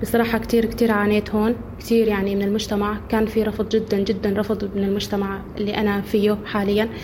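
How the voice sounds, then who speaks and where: A woman's medium-pitched, monotone, flat voice at a fairly quick pace with hardly any pauses, amid noticeable background noise and audible room echo. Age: 20s. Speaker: widow returnee. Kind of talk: testimony.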